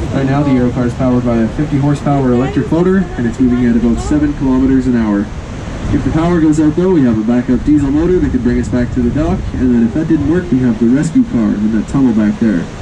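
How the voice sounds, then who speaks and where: A man's very fast speech at a very even loudness, over noticeable background noise. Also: ordinary pitch variation. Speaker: tour guide on the cable car. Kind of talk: tour guide commentary.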